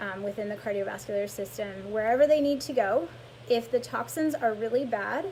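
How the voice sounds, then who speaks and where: A woman's normal speaking voice, fairly high in pitch, at a fairly quick pace with ordinary pitch variation. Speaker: lymphatic massage therapist. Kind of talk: live-stream health talk. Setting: live social media video stream.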